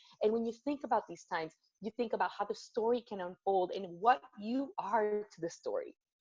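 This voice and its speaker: In a Spanish accent, a woman with a fairly high pitch speaks at a moderate pace, the sound dry and close with no echo. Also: big swings in loudness. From Venezuela, Caracas. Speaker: corporate storytelling speaker. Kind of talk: motivational talk. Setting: video call. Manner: animated.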